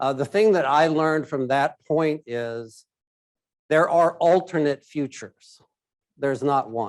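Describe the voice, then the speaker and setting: The voice moves at a fairly slow pace with ordinary pitch variation. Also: man, fairly high pitch for a man. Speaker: risk advisory executive, keynote speaker. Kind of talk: keynote presentation. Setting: stage with live audience, hybrid event. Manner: loud.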